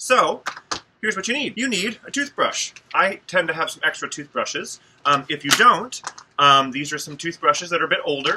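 The pitch of a man's voice swings very widely, with noticeable background noise in the recording. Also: moderate pace. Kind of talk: tutorial. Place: workshop. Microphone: phone near.

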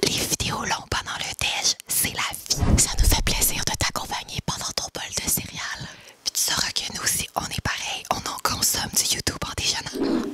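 A woman whispering at a fairly slow pace. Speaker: YouTube duo host. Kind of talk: ASMR reading of viewer comments. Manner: whispered. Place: home room. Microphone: studio mic.

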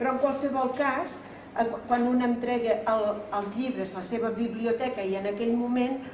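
With audible room echo and light background noise, a woman speaks at a fairly slow pace with a fairly high pitch and fairly even intonation. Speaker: cultural association president. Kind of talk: formal speech at event. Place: hall. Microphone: camera far.

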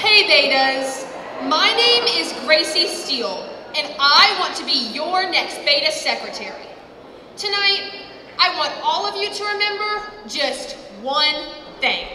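Room echo is audible behind a woman's raised, projected voice. She speaks at a very slow pace over light background noise. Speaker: candidate. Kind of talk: campaign speech. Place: hall. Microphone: handheld.

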